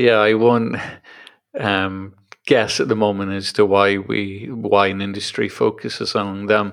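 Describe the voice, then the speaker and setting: This man speaks at a fairly slow pace. His fairly low voice has a monotone, flat intonation. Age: 40s. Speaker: podcast host. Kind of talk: interview. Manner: hesitant, many fillers.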